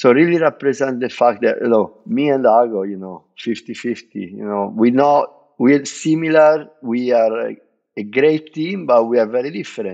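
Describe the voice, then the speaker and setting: An Italian-accented man speaks with lively intonation and big swings in loudness. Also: medium pitch for a man, moderate pace. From Italy. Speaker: bartender. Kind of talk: podcast interview.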